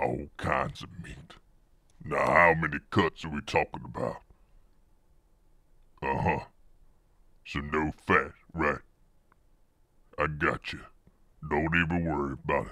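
At a moderate pace, a man with a very deep, low pitch talks with long, frequent pauses. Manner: brisk, casual, no-nonsense.

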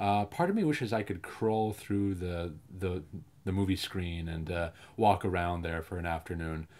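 A man speaking at a fairly slow pace. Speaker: filmmaker. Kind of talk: film commentary. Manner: casual, humorous. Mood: enthusiastic, affectionate. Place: home room.

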